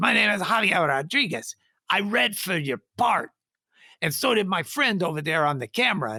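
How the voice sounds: A put-on character voice at a middle pitch with very wide pitch swings, on a very clean recording with a silent background. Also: moderate pace.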